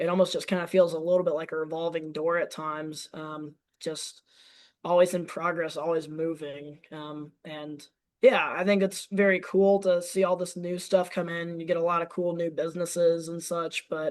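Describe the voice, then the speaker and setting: Here a man with an American accent talks at a high pitch in a monotone, flat way. His loudness swings a great deal. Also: moderate pace, quiet background. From US South, Nashville, Tennessee. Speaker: podcast guest. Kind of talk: casual interview chat. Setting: remote call. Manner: hesitant, many fillers.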